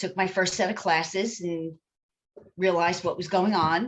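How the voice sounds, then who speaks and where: A woman's medium-pitched voice in a monotone, flat delivery. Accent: East Coast US. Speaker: psychic medium. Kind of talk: interview.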